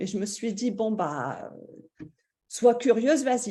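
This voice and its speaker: Her tone dark and mellow, a woman talks at a fairly slow speed. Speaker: stay-at-home mother, course participant. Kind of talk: testimony. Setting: live video stream.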